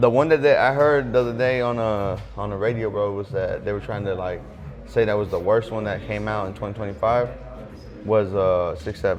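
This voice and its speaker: A man speaks at a fairly quick pace in a fairly low voice, with ordinary pitch movement. Some room echo can be heard. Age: 20s. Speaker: barber shop co-owner. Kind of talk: casual chat. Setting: barber shop.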